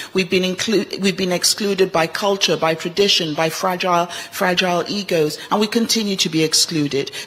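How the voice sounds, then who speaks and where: Noticeable background noise under fairly quick talk with ordinary pitch variation. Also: woman. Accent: Nigerian. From Nigeria, Ibadan; boarding school in England. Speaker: medical doctor and global health envoy, panelist. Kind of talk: panel discussion. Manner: animated.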